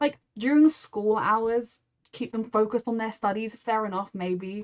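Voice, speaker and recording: This woman has a British accent. Her pitch moves up and down normally. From Britain. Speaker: TV reaction YouTuber. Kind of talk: casual reaction commentary.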